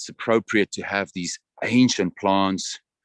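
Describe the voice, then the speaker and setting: Ordinary pitch variation comes through in a South African accent at a very slow pace. The sound is dry and close with no echo. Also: man. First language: Afrikaans. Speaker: tour guide. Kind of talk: guided tour commentary. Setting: outdoors, walking in a botanical garden.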